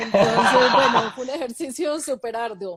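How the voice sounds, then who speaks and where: Her lively intonation and high pitch mark this woman, who talks at a moderate speed. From Colombia, Medellín (paisa). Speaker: author. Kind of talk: interview.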